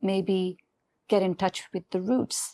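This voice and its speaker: At a very slow pace, a woman with a non-native accent speaks in a dark, mellow tone at a medium pitch. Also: dry, close sound with no echo. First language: not English. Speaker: business founder. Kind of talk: interview. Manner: halting.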